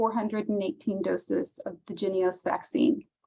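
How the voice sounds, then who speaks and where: A woman speaks in a somewhat breathy voice. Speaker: county public health official. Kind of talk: webinar presentation. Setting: video call.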